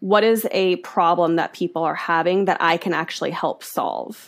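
A woman at medium pitch is heard in a very clean recording with a silent background. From US, wealthy county. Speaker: personal finance author. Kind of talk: interview. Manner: animated.

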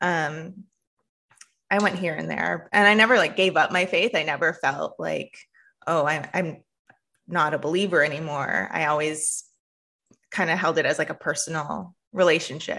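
Speaking with a Canadian accent, a woman has a fairly low pitch, vocal fry and a bright, sharp tone, with ordinary pitch variation. She keeps a moderate pace with long, frequent pauses, against a quiet background. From Canada. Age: 30s. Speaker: pastor and theologian. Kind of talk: casual chat.

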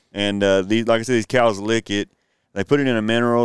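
A man in a monotone, flat voice, with a dry, close sound and no echo, in a very clean recording with a silent background. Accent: Texan. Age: 40s. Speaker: podcast co-host, school worker. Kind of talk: casual chat.

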